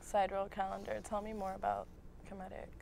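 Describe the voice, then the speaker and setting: Recorded with a dry sound and no echo, a woman with an American accent speaks over light background noise. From US, Egyptian parents. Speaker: co-host; talk show co-host. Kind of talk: casual interview. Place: studio.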